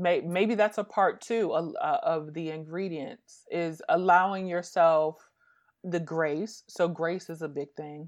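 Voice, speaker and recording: A woman speaks at a fairly slow pace with fairly low pitch and ordinary pitch variation, in an ordinary speaking voice. The background is quiet. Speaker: business strategist. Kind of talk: casual interview conversation.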